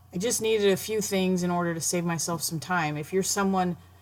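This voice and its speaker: A woman speaks in a plain, everyday voice at a fairly quick pace, her pitch medium and her intonation fairly even. The recording is very clean, with a silent background. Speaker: blogger making a tutorial. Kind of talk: tutorial. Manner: casual, self-deprecating.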